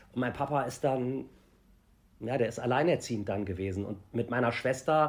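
Lively intonation marks this man's speech. His voice carries vocal fry. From Germany. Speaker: celebrity TV reporter. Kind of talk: interview. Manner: halting.

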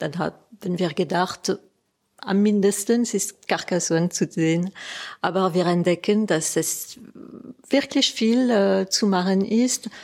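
Speaking at a very slow pace with very even loudness, a woman is heard on a very clean recording with a silent background. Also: medium pitch for a woman, ordinary pitch variation. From Alsace, France. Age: 50s. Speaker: guesthouse owner. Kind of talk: interview. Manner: halting.

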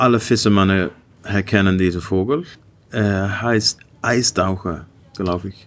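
A man's fairly low voice at a fairly slow pace, broken by long, frequent pauses. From Iceland, Icelandic mother and Dutch father. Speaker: gin distiller and artist. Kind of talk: interview with tasting. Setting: hotel bar. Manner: halting, repeating words; switching between German and English.

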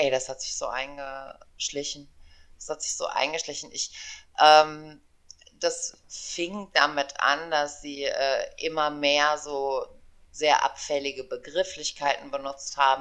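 Everything around her is quiet. A woman's words come at a very slow pace. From western Germany, Aachen. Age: 40s. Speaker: podcast co-host. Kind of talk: casual chat.

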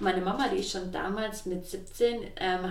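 A woman at a medium pitch and fairly slow pace, with noticeable background noise and audible room echo. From Swabia, southwest Germany. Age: 20s. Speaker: entrepreneur. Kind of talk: interview. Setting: kitchen in her flat.

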